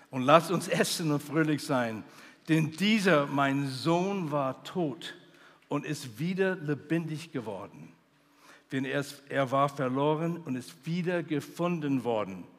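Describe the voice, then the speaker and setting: A man speaks at a very slow pace in a fairly high, warm voice with ordinary pitch variation, in a very clean recording with a silent background. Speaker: preacher, missionary theologian. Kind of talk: sermon. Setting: stage with audience at a youth conference. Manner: earnest, warm preaching delivery with emphatic repetition; builds to a fervent, celebratory pitch on joy and feasting.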